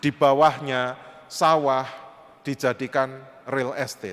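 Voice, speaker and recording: In a flat monotone, the man holds a medium pitch. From Indonesia, Java (Kediri area, East Java). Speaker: panel speaker at interfaith forum. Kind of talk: presentation with slides. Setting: church hall forum with audience.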